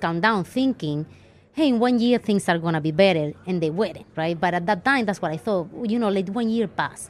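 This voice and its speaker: With a strong Andalusian accent, a woman speaks at a fairly quick pace, medium in pitch, with lively intonation. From southern Spain (Andalusia, Ronda). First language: Spanish. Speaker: financial planner. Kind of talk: interview. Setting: live event recording.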